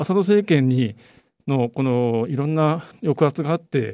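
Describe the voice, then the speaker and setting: A man's dark, mellow voice with lively intonation at a moderate pace. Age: 40s. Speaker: journalist. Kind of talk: interview.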